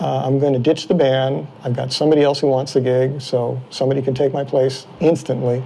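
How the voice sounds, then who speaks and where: A man talks fairly quickly in a flat, monotone delivery. The room echoes audibly, and background noise is noticeable. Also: medium pitch for a man. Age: 60s. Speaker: bicycle frame builder. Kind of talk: interview. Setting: workshop.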